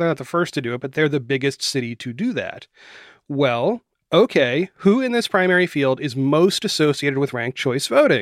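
A man with an American accent speaks at a moderate pace in a plain, everyday voice, his fairly high pitch carried by lively intonation, recorded very cleanly against a silent background with a dry, close sound and no echo. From Florida and West Virginia. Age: 40s. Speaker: journalist and podcast host. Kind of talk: interview.

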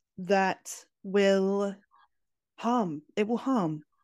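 A woman with a Scottish accent is heard in a very clean recording with a silent background and a dry, close sound without echo. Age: 30s. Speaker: tarot reader. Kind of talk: interview conversation.

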